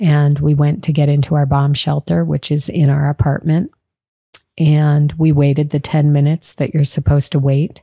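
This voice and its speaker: Soft-spoken and somewhat breathy, a woman talks at a moderate pace with a very deep, low pitch, a dark, mellow tone, fairly even intonation and very even loudness. The sound is dry with no echo against a quiet background. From Chicago. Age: 50s. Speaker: teacher. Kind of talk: podcast interview answer. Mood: calm, somber recounting. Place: home room. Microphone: studio mic.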